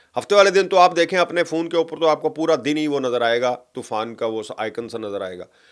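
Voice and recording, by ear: A man's voice at medium pitch, fairly bright in tone with lively intonation, on a very clean recording with a silent background.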